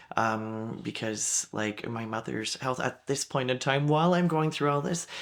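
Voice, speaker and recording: Here is a man with a Canadian accent and an unremarkable speaking voice. His pitch is medium, with ordinary variation. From Ottawa, Ontario, Canada. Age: 20s. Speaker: elected official. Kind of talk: interview. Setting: podcast.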